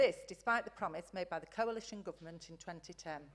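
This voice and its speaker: In a Lancashire accent, a woman talks very fast at a fairly low pitch with ordinary pitch variation. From northern England, Blackpool. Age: 60s. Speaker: campaigner speaking at council meeting. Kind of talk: prepared public statement.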